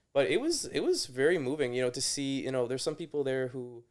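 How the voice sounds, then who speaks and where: A man at medium pitch with a slight Canadian accent, talking at a very fast pace on a very clean recording with a silent background. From Toronto, Canada. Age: 30s. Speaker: nurse. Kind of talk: casual chat. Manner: halting.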